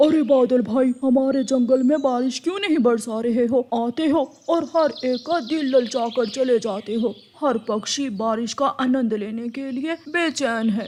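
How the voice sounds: A cartoonish character voice rattles along at a moderate pace with hardly any pauses. Its pitch is fairly high.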